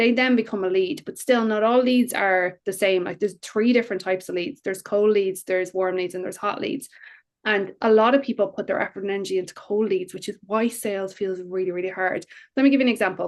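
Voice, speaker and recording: Very fast speech comes from a woman whose pitch varies in an ordinary way. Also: medium pitch for a woman. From Ireland. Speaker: business coach. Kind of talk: interview. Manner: animated.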